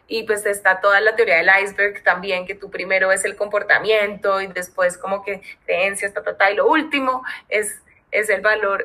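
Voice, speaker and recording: Her voice is a plain, everyday voice, pitched in the middle of a woman's range. She keeps a moderate pace, and her intonation stays fairly even. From Colombia. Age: 30s. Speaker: people and culture lead. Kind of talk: casual interview.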